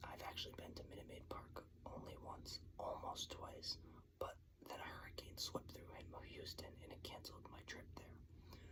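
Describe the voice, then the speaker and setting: Whispering with an American accent, a man talks at a moderate pace over noticeable background noise. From New York. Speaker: ASMR sports channel host. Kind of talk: whispered ASMR ramble about sports venues. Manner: whispered, casual, conversational.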